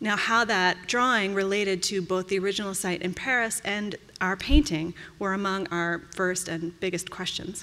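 A woman's bright, sharp voice at medium pitch, moderate pace and fairly even intonation. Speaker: paintings conservator. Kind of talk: conference lecture. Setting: stage with audience. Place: hall.

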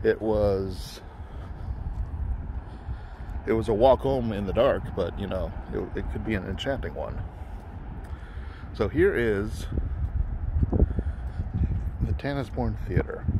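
Against noticeable background noise, a man speaks at a fairly slow pace with long, frequent pauses, the sound dry with no echo. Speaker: urban explorer vlogger. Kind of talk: casual vlog chat. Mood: nostalgic, reflective. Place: street. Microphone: phone near.

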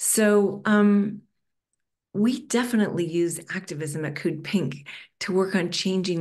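Fairly slow speech with a slightly mellow tone and ordinary pitch variation. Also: woman.

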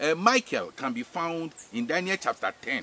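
A man's voice sounds dry with no echo, with light background noise behind it. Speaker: spiritual teacher. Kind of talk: religious teaching. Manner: repetitive, hesitant with fillers. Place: farm. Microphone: camera far.

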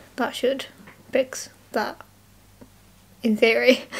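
A mumbling woman with a British accent, high-pitched, over noticeable background noise. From UK. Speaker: YouTuber. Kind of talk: casual vlog. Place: home room. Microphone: webcam.

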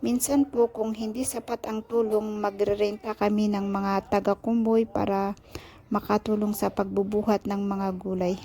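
At a moderate pace, a woman of medium pitch speaks in a somewhat breathy voice with monotone, flat intonation. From Philippines, Benguet highlands. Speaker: vlogger. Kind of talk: vlog narration. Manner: polite, uses po.

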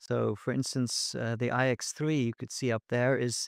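A man is speaking against a quiet background. The sound is dry, with no echo. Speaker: guest. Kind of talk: interview answer. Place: studio. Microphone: studio mic.

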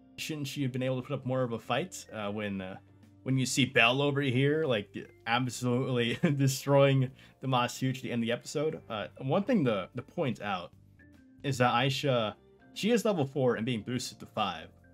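A man talks at a moderate pace with ordinary pitch variation while faint music sits in the background. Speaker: anime reviewer. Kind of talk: casual commentary. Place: home room.

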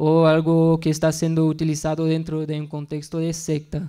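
Speaking with a non-native accent, a man uses a fairly high pitch and a dark, mellow tone. The background is quiet. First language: not Spanish (speaking Spanish). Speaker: researcher and conference speaker; conference speaker. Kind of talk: conference talk. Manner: halting. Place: classroom. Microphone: podium.

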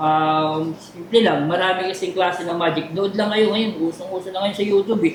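Using ordinary pitch variation, a man with a high voice keeps a moderate pace. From Taytay, Rizal, Philippines. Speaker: comedian and magician. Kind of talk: interview.

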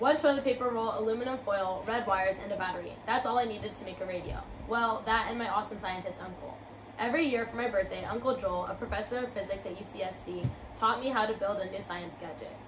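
Talking at a very fast pace, a woman with fairly high pitch and ordinary pitch variation is heard over noticeable background noise. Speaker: college student youtuber. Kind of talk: reading aloud. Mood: calm, reflective. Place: home room. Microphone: camera far.

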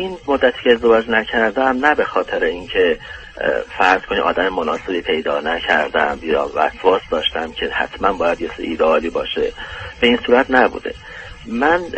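A man speaks at a moderate pace while noticeable background noise plays. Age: 40s. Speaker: caller, dentist. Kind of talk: asking for personal advice. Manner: halting.

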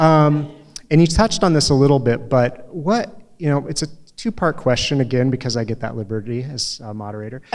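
Lively intonation marks a man's speech with an American accent. The background stays quiet. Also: fairly high pitch for a man, fairly quick pace. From US Midwest. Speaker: event moderator, former newspaper publisher. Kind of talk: moderated interview. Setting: stage with audience. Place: hall. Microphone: handheld.

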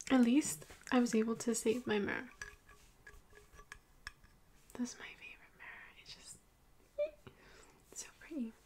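Soft-spoken and high-pitched, a woman talks at a moderate pace with ordinary pitch variation, long, frequent pauses and big swings in loudness, over light background noise. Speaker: ASMR role-play host. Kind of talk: soft role-play chat to the viewer. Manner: soft close-mic ASMR princess voice. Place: home room. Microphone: studio mic.

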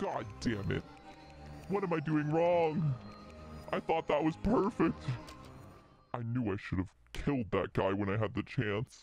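A man does a put-on character voice at medium pitch, with very wide pitch swings and a moderate pace. He leaves long, frequent pauses while clear music plays in the background. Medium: virtual streamer. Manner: theatrical, then exasperated.

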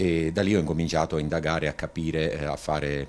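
A man with a very deep, low pitch, vocal fry and monotone, flat intonation. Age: 50s. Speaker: patient. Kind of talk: testimony. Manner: halting. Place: home room. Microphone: handheld.

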